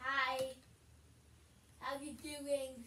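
A female-sounding put-on character voice, high-pitched for a woman, with monotone, flat intonation. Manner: friendly greeting.

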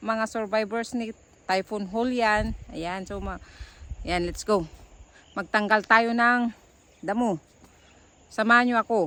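Speech comes at a very slow pace. Pauses are long and frequent. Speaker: farmer and vlogger. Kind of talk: casual vlog narration. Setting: outdoors in a garden.

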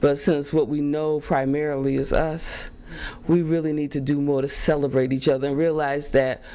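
Against noticeable background noise, a woman talks at a moderate pace with a very deep, low pitch. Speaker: talk show host. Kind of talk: casual interview. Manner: animated.

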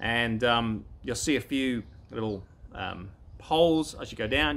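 Vocal fry runs through this voice, which has ordinary pitch variation. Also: man. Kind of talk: casual vlog chat. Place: garden.

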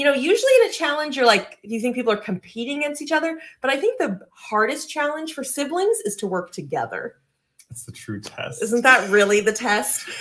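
At a fairly quick pace, a woman speaks in a high pitch that makes very wide swings. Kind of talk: casual livestream chat. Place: office.

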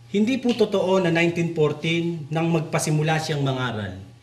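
Noticeable background noise and audible room echo accompany a man speaking at a fairly slow pace. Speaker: religious talk show host. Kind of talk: religious discussion.

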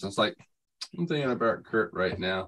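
With light background noise, a man at a fairly low pitch talks fairly quickly, his tone bright and sharp and his intonation lively. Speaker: open mic participant; RC hobby show host. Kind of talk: casual chat. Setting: video call. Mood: laughing, joking. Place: home room. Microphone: video call.

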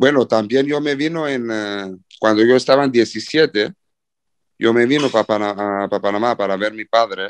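A man speaks at a moderate pace with a medium pitch and ordinary variation. The background is quiet, and the sound is dry and close with no echo. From Cyprus. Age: 20s. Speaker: professional footballer. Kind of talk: interview. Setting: video call. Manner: halting.

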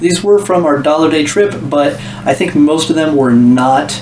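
A man is speaking with light background noise. There is audible room echo. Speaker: thrift reseller. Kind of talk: casual haul vlog chat. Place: home room.

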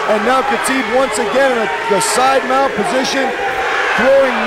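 Over loud background noise, a man talks in a dry sound with no echo. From Vancouver, Canada. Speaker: MMA commentator. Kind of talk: MMA play-by-play and colour commentary. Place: stadium. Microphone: headset.

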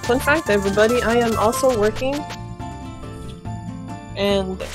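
Clear music plays in the background. A woman talks at a moderate pace with ordinary pitch variation. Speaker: streamer. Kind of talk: casual stream chat. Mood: playful, laughing. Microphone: phone near.

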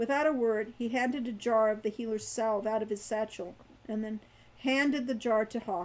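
The reading voice sounds natural. Its intonation is fairly even.

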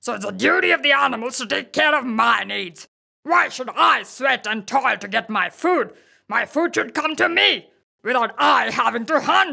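A woman's put-on character voice, high-pitched and bright with a sharp tone, lively intonation, vocal fry, a slightly husky edge and few pauses. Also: moderate pace.

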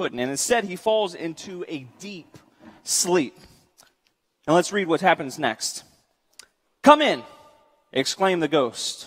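The background stays quiet. A man talks at a fairly slow pace. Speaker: preacher. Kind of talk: sermon. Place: church.

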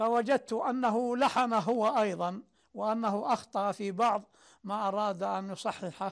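With a quiet background, a man speaks in a high pitch at a very slow pace and keeps his intonation fairly even. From Saudi Arabia, Najd (Sudair); Najd, Saudi Arabia. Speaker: poet and writer; poet. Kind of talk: interview testimony. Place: home room. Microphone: lapel.

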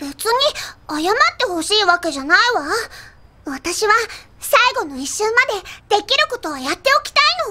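The speech has very wide pitch swings and long, frequent pauses. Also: woman, extremely high pitch for a woman, moderate pace. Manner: bossy, exasperated retorts.

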